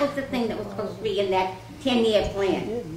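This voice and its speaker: A woman speaks with lively intonation. There is noticeable background noise and audible room echo. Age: old. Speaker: senior resident at town meeting. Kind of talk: public comment at community meeting. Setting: public meeting in a library.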